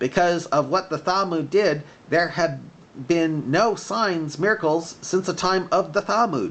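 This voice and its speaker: Someone does a shrill, put-on character voice at a moderate pace. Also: man, high pitch for a man. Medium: read story.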